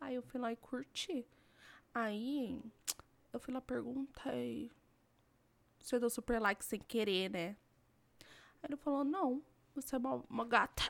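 Her high-pitched voice moves at a fairly slow pace, and the woman leaves long, frequent pauses. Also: ordinary pitch variation. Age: 20s. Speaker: podcast co-host. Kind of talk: casual chat. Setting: home recording, not a studio.

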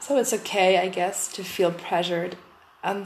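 With a German accent, a woman speaks fairly slowly in a fairly low pitch and fairly even intonation. Noticeable background noise is present. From Germany. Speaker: podcast host. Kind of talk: casual monologue. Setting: empty packed-up room. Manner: hesitant. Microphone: echo.

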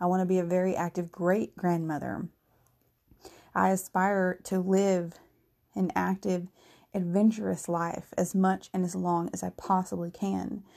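A woman's medium-pitched, dark and mellow voice, monotone and flat, at a fairly slow pace with long, frequent pauses, on a very clean recording with a silent background. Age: 30s. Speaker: solo podcaster, self-employed. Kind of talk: casual monologue. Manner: rambling, conversational.

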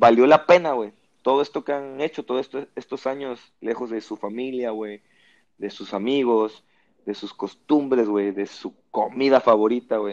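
A man with a normal speaking voice at medium pitch, fairly slow, with ordinary pitch variation, a dry, close sound with no echo and a quiet background. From Mexico, Lerdo, Durango. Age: 20s. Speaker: podcast host. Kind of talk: casual chat.

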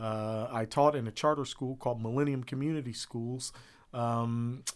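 Using a plain, everyday voice, a man with an American accent speaks at a fairly slow pace in a medium pitch with ordinary pitch variation, on a very clean recording with a silent background. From Columbus, Ohio. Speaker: school board member. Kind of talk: interview.

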